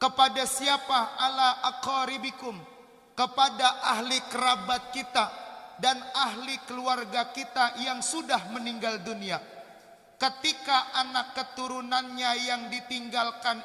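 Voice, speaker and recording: Extremely high for a man, his raised, projected voice moves at a very slow pace with monotone, flat intonation. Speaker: Islamic preacher. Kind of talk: sermon. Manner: not shouting, subdued delivery.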